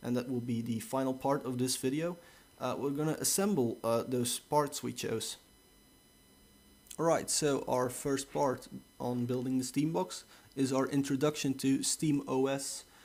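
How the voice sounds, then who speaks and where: A man with a Dutch accent, medium pitch, ordinary pitch variation, and a fairly slow pace. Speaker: tech reviewer. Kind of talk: tutorial. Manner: casual, hesitant with many fillers.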